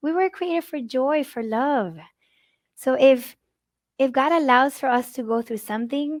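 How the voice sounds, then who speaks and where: A woman with a Spanish accent and a high voice, with long, frequent pauses. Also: ordinary pitch variation, moderate pace, very clean recording, silent background. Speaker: grief speaker. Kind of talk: conference talk. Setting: live conference.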